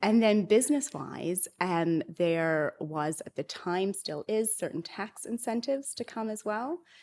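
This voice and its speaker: Speaking with a Canadian accent at a fairly slow pace, a woman uses a medium pitch with very wide pitch swings and big swings in loudness. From Canada. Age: 40s. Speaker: author and entrepreneur. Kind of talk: interview conversation.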